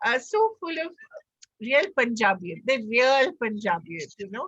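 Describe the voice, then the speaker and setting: A woman's voice with a bright, sharp tone swings very widely in pitch. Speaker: interviewer. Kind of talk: interview question.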